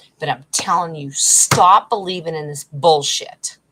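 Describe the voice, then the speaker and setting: Growling in a put-on character voice, a woman speaks at a fairly low pitch with ordinary pitch variation and a moderate pace. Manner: agitated, worked up, emphatic.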